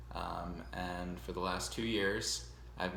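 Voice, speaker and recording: Vocal fry marks a man's very deep, low voice, delivered fairly slowly with lively intonation. Audible room echo surrounds him. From US Northeast, Long Island, New York. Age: 20s. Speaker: music teacher. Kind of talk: self-introduction video to students. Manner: casual, with many fillers.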